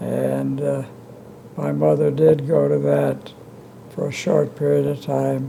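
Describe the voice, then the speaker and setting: Speaking with an American accent, the man can be heard over noticeable background noise. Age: 80s+. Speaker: retired physician and civic leader. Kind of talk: interview answer.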